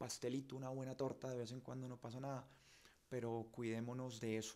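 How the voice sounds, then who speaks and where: A man speaks in a dark, mellow tone at medium pitch, with monotone, flat intonation. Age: 40s. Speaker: journalist and show host; journalist, show host. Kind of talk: live stream monologue. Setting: home studio. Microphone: studio mic.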